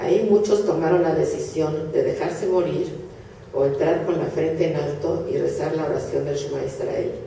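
Audible room echo and light background noise surround a woman speaking at a moderate pace. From Hungary (Budapest). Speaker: Holocaust survivor speaker. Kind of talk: lecture. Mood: solemn, grave. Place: hall. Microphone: camera far.

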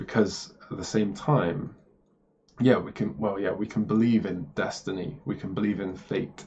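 An ordinary speaking voice moves at a fairly slow pace with ordinary pitch variation over light background noise. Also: man. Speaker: spiritual video creator. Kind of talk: casual explanatory monologue. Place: home room. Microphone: webcam.

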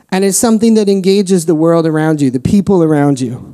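The voice has a dark, mellow tone with ordinary pitch variation. The background is quiet. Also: man. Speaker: preacher. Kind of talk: sermon. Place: church. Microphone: handheld.

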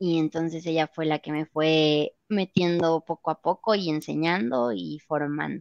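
A woman's very deep, low voice at a fairly slow pace, dry with no echo over a quiet background. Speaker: voice actress; voice actress guest. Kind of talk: interview. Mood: friendly, relaxed. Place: home room. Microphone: video call.

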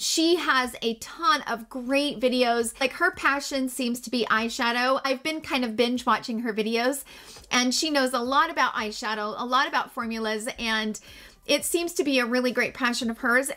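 Her voice is high-pitched, with a bright, sharp tone and ordinary pitch variation. The woman keeps a moderate pace over a quiet background. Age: 40s. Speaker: beauty YouTuber. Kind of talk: casual vlog talk to camera. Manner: upbeat and animated.

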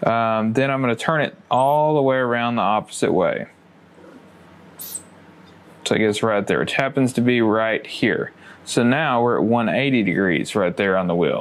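A man's voice at a moderate pace, with ordinary pitch variation and very even loudness. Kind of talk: tutorial. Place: workshop.

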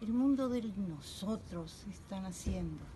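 A woman speaks at a very slow pace. Music plays behind her. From Uruguay. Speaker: poet. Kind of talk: poetry reading. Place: garden. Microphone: phone near.

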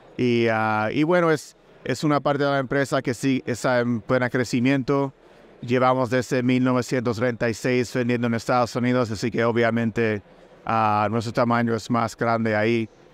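Fairly slow speech from a man, with very even loudness, fairly even intonation and a dry sound with no echo. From Puerto Rico. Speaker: food company executive. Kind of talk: interview. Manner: halting, with many fillers. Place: booth. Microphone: studio mic.

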